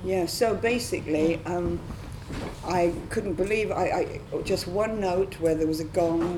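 Over noticeable background noise, a woman speaks at a fairly slow pace and fairly low pitch, with fairly even intonation. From Scotland. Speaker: improvising vocalist. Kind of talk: panel discussion. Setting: stage with audience.

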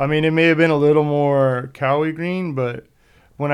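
The speaker talks with an American accent and a fairly even intonation. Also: man. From US, San Diego near Mexican border. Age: 40s. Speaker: exhaust fabricator. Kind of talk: casual chat.

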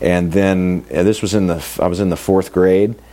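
A man with a very deep, low voice talks in a fairly even tone while noticeable noise runs behind him. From US Midwest, Kansas City. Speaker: luthier. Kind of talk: interview.

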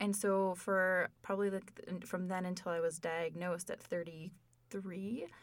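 A woman's medium-pitched voice in an American accent, monotone and flat, at a moderate pace. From Minnesota, US. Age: 30s. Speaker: patient sharing experience. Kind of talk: casual chat.

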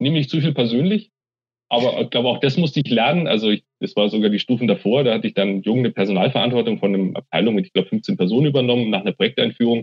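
Lively intonation marks this man's medium-pitched voice. He talks at a very fast pace with very even loudness. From Munich, Bavaria. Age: 40s. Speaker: university IT executive. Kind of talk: interview.

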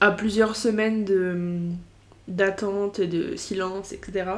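Very slow speech from a woman, medium in pitch, her intonation fairly even. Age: 20s. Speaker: podcaster. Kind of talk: casual monologue. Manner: hesitant, many fillers.

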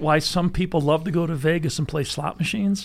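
A man talks at a moderate pace and high pitch. The recording is very clean, with a silent background. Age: 60s. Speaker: gun storage company founder. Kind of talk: casual chat. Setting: studio.

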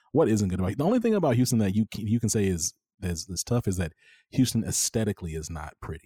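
A man speaks with an American accent in a dark, mellow tone that is somewhat breathy. The recording is very clean, with a silent background. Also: dry, close sound with no echo. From Texas, Dallas-Fort Worth area. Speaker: organizational change consultant and media founder. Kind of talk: casual interview. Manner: animated, frequent fillers.

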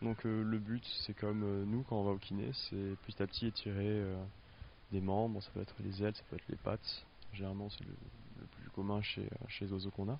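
This man talks at a fairly quick pace in a fairly low voice. His intonation is monotone and flat. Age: young. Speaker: animal care assistant. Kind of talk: interview.

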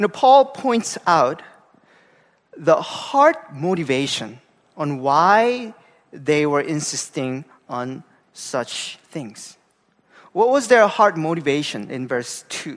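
A man's fairly high voice at a very slow pace, with very wide pitch swings, big swings in loudness and long, frequent pauses. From South Korea, Gangwon-do. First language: Korean. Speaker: pastor. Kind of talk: sermon. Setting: church.

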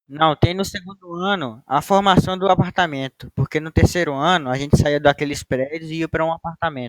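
In a plain, everyday voice, a man talks at a fairly quick pace with hardly any pauses and ordinary pitch variation, the sound dry and close with no echo. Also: fairly high pitch for a man. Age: young. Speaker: university student, co-host. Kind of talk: casual chat.

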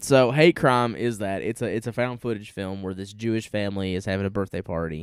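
In a Southern US accent, a man talks at a fairly quick pace with hardly any pauses, his fairly low pitch showing ordinary variation. The recording is very clean, with a silent background. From US South. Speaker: podcast co-host. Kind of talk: casual chat.

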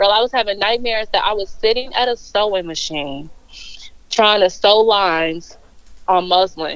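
A woman with an American accent speaks at a moderate pace in an unremarkable speaking voice, her pitch medium and its variation ordinary. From Chicago suburbs, US Midwest. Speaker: brand style strategist. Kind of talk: casual interview.

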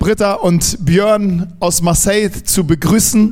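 There is noticeable background noise behind this man's voice. He speaks at a high pitch with fairly even intonation. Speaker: church host. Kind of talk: welcome introduction at church service. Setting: church service with congregation. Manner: halting.

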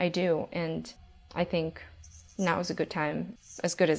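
A woman with an American accent speaks at a fairly low pitch with vocal fry, in a very clean recording with a silent background. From New York, Brooklyn. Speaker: financial analyst. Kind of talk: interview.

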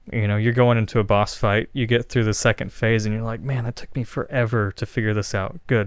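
In a normal speaking voice, the speaker moves at a fairly quick pace with fairly even intonation and hardly any pauses, on a very clean recording with a silent background. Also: man, medium pitch for a man. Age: 30s. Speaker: musician. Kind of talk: casual chat. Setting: studio.

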